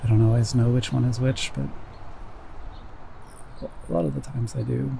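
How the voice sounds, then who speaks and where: A man whispers at a moderate pace, leaving long, frequent pauses, with noticeable noise in the background. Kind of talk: ASMR whisper ramble. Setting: outdoors. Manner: whispered.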